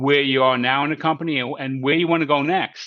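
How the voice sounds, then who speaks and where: With an American accent, a man speaks at a fairly quick pace in a bright, sharp tone over a quiet background. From New York. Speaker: career coach presenter. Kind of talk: webinar presentation Q&A. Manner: fast.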